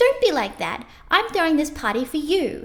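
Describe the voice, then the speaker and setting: Putting on a squeaky character voice, a woman speaks high in pitch at a moderate pace, her pitch swinging very widely. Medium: read story. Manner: shrill, emphatic.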